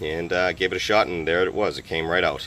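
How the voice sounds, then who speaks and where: A man's very deep, low voice in an American accent, with monotone, flat intonation. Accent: Boston accent, stronger when talking fast. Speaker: car hobbyist video maker. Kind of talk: DIY tutorial. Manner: casual, hesitant with fillers.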